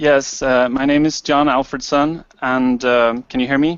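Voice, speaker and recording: Fairly slow and fairly high in pitch, a man speaks with a Swedish accent. His intonation stays fairly even. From Sweden. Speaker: online entrepreneur. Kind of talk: self-introduction in group hangout. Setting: video call.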